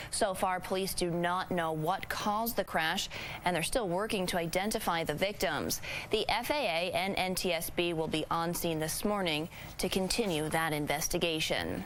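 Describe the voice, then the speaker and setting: A woman talks with an American accent at a very even loudness. Background noise is noticeable. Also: fairly low pitch for a woman, ordinary pitch variation, moderate pace. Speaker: television news anchor and investigative reporter. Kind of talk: TV news anchor delivery.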